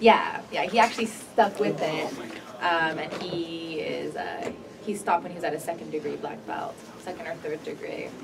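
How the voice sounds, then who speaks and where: This speaker has a Californian accent and talks at a moderate pace with big swings in loudness. Noticeable background noise and audible room echo come through. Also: woman. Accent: Californian American English. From Los Angeles County suburbs, US. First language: Korean. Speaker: spoken word poet. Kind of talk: radio interview. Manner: halting, many fillers.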